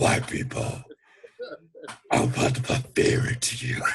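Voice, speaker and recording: A man does a put-on character voice, raspy and at a medium pitch, moving at a moderate pace. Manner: menacing.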